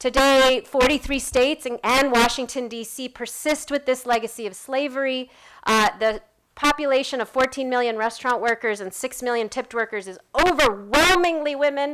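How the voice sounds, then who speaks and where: A woman with a high pitch shows ordinary pitch variation and big swings in loudness on a very clean recording with a silent background. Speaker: advocacy organization co-founder. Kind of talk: event speech. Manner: fast.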